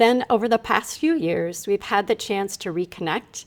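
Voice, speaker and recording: In a plain, everyday voice, a woman speaks at a medium pitch and a moderate pace with lively intonation. The recording is very clean, with a silent background. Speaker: podcast host and brain fitness coach. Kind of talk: podcast interview intro.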